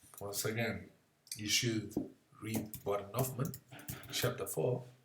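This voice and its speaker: A man with a non-native accent speaks at a moderate pace with fairly even intonation over noticeable background noise. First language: not English. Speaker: physics tutor. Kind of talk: software tutorial. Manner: halting. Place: home room. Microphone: webcam.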